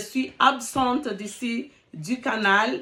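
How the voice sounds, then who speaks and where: This is a woman with a fairly high pitch. Her tone sounds bright and sharp. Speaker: relationship coach YouTuber. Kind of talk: casual vlog talk. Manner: hesitant with fillers; halting, searching for words.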